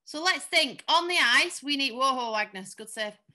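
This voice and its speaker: The voice has a bright, sharp tone and lively intonation, moving at a moderate pace over a quiet background. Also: woman. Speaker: skating coach. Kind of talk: online class instruction. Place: home room. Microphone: webcam.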